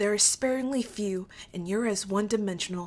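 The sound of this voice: The pitch shifts in an ordinary way throughout this unforced reading voice.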